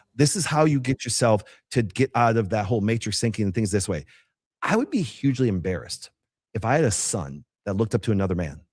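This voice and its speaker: Very fast and animated, a man with an American accent talks with lively intonation and a somewhat breathy quality. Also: medium pitch for a man, very clean recording, silent background. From northern Wisconsin. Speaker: chiropractor and healthcare entrepreneur. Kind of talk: interview.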